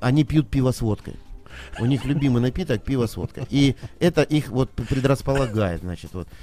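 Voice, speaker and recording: A man's normal speaking voice, medium in pitch, at a moderate pace with ordinary pitch variation. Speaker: restaurant manager. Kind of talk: casual chat.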